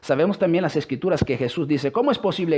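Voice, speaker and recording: A man speaks at a very fast pace with lively intonation. His tone is dark and mellow. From Italy. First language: Italian (speaking Spanish). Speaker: religious speaker. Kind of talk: religious talk with scripture reading. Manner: halting.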